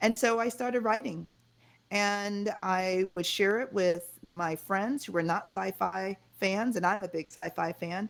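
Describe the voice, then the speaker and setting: A woman with an American accent, medium pitch and ordinary pitch variation, at a fairly slow pace, in a very clean recording with a silent background. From Connecticut, US (Jamaican-born). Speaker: fashion designer and author. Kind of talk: interview.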